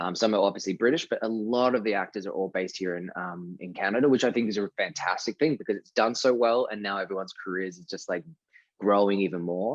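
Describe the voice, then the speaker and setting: Against a quiet background, a man with an American accent and a fairly low pitch talks at a very fast pace with ordinary pitch variation. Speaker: actor. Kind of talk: interview. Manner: casual, with many fillers and restarts.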